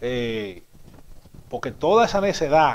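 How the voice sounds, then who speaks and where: A man's animated tone with lively intonation. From Dominican Republic. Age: 30s. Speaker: TV news commentary host. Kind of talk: TV commentary monologue. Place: studio. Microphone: lapel.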